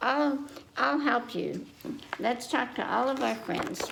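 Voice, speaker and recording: A woman's put-on character voice, high in pitch, at a fairly slow pace. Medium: read story. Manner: bouncy, playful.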